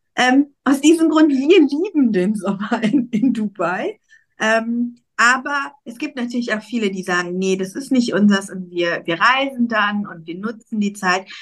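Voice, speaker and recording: Somewhat breathy and fairly high-pitched, a woman speaks at a fairly slow pace with lively intonation and big swings in loudness. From Germany, Cologne. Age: 40s. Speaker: emigration consultant. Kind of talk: casual interview chat.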